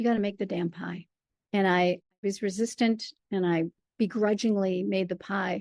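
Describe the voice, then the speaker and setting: At a moderate pace, a woman with an American accent speaks in a medium pitch with monotone, flat intonation, in a dry, close sound with no echo against a quiet background. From Michigan. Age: 60s. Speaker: storyteller and performer. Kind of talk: interview.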